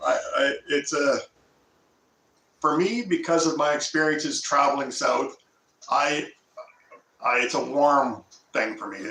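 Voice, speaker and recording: The speaker has a Canadian accent and a fairly slow pace. Long pauses come often. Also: man, fairly high pitch for a man, ordinary pitch variation. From Nova Scotia, Canada. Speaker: homesteader, channel host. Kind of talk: casual live stream chat. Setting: live stream.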